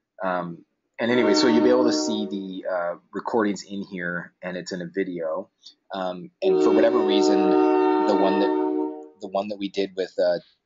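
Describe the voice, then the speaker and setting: A man talks at a moderate pace with ordinary pitch variation. Clear music plays in the background. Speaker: call host. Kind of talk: tutorial. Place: office.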